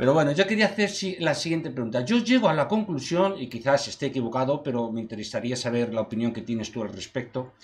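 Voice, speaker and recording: A man at medium pitch, very fast with hardly any pauses and very wide pitch swings, over noticeable background noise. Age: 50s. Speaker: interviewer. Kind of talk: interview.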